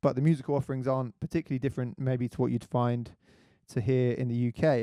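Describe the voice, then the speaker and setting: A man's medium-pitched voice with a British accent, dark, mellow tone and fairly even intonation, dry and close with no echo. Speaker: radio host, magazine editor. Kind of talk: radio show commentary; reading aloud. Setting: studio, live stream. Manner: halting, many fillers.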